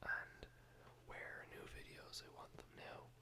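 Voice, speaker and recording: Whispering in a relaxed tone, the speaker goes at a very slow pace. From Ireland. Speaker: ASMR whisper video creator. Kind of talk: casual vlog talk to camera. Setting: home studio with rain in background. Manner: whispered, relaxed.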